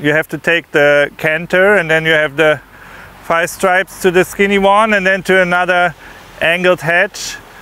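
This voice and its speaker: Speaking with a German accent, a man uses a high pitch and fairly even intonation at a moderate pace, the sound dry with no echo. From Germany. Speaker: eventing rider. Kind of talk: course walk explanation. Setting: outdoors. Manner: halting. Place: open country. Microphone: lapel.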